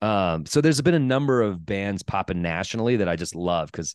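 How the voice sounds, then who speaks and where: Fairly quick and lively in intonation, a man speaks in an unremarkable speaking voice at a fairly low pitch, the sound dry and close with no echo over a quiet background. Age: 40s. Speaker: stand-up comedian. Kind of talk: casual chat. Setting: video call.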